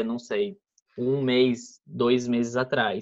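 A man talks at a very slow pace. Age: 20s. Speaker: podcast guest. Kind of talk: casual chat.

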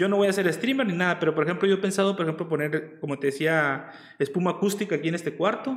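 Speaking at a very fast pace, a man with a Mexican accent has a high pitch. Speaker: streamer hosting interview. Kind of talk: casual chat. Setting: video call livestream.

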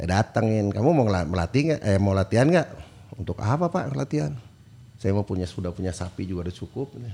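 A man with a West Javanese accent speaks very fast in a fairly low voice, his dark, mellow tone carried by lively intonation. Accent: Sundanese tongue. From non-Sundanese Indonesia, raised in Bandung. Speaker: football coach. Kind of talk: casual chat.

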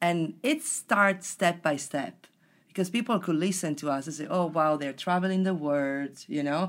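In a very clean recording with a silent background, a woman with an Italian accent speaks at a moderate pace, her pitch fairly low and her pitch variation ordinary. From Italy. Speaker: personal development facilitator. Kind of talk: casual interview chat.

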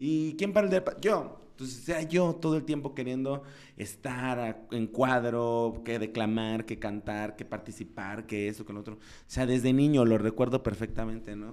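A man's unremarkable speaking voice, medium-pitched with ordinary pitch variation, a moderate pace and big swings in loudness. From Mexico, Guerrero (Chilpancingo). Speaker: TV presenter and entrepreneur. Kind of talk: interview.

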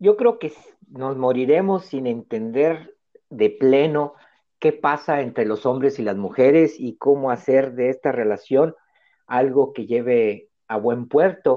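A man talks very slowly in a medium-pitched voice, his pitch variation ordinary. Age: 50s. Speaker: podcast host, family constellations facilitator. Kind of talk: casual chat.

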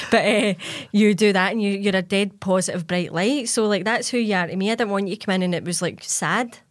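A woman with a Glasgow accent speaks at a fairly quick pace with a medium pitch and fairly even intonation. Noticeable background noise runs underneath. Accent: Scottish (Glasgow). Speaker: podcast host and fitness coach. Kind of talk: casual interview chat. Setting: studio.

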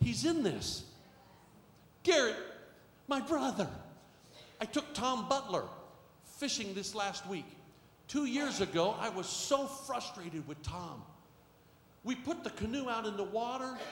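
Over noticeable background noise, a man with an extremely high pitch for a man talks at a fairly slow pace, leaving long, frequent pauses. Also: lively intonation. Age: 60s. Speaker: pastor. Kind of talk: sermon. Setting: church with live congregation. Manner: animated, repetitive.

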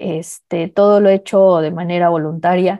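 Dark, mellow tone from a woman at a fairly low pitch, monotone and flat, in a dry, close sound with no echo. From Mexico. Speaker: program participant. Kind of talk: question from workshop participant.

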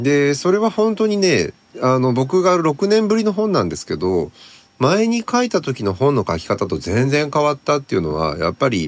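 A man's fairly high pitch with very wide pitch swings, at a moderate pace. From northern Japan (Tohoku), Sendai then Akita. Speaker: writer and editor, book author. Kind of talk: casual discussion.

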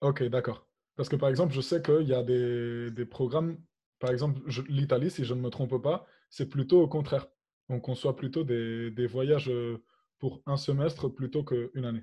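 A man's medium-pitched, dark and mellow voice, somewhat breathy, at a moderate pace, with fairly even intonation and long, frequent pauses. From Spain. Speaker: student association podcast host. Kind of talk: interview. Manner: hesitant.

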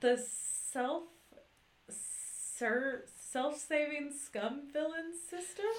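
In a put-on character voice, a woman hisses at a very slow pace and a high pitch, leaving long, frequent pauses. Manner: hissing, snake-like.

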